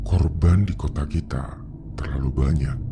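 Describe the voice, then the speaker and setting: Over clear background music, a man puts on a character voice, very deep and low, at a moderate pace. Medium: read story. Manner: grave, measured.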